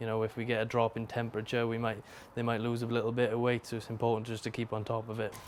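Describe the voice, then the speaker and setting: In a South Wales accent, a man talks at a very fast pace with a monotone, flat delivery. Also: medium pitch for a man. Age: 20s. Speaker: greyhound trainer. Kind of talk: casual interview talk. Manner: halting.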